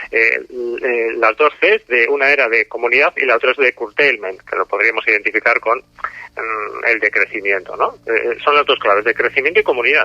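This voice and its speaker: Male speech at moderate speed over noticeable background noise. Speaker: author and activist. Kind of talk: interview. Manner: hesitant, with many fillers.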